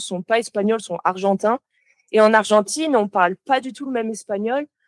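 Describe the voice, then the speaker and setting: A woman speaks at a moderate pace in a fairly high voice. Her intonation stays fairly even, and the sound is dry and close with no echo. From southern France, Toulouse. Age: 20s. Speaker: motion designer. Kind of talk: podcast interview. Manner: sometimes searches for words.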